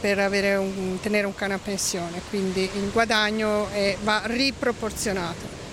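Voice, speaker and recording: Over noticeable background noise, a woman talks fairly slowly in a medium pitch, flat and monotone, with hardly any pauses. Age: 50s. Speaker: expat interviewee. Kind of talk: interview, personal story. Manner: halting.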